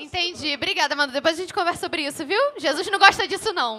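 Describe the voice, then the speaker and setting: A woman's raised, projected voice at an extremely high pitch, fairly quick and lively in intonation, over noticeable background noise. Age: 20s. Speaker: podcast co-host. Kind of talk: casual chat.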